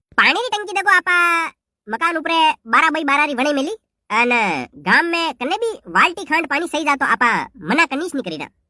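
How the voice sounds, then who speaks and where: Putting on a cartoonish character voice, a woman speaks at an extremely high pitch with lively intonation and a moderate pace, the sound dry and close with no echo. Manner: hesitant, slippery, self-satisfied.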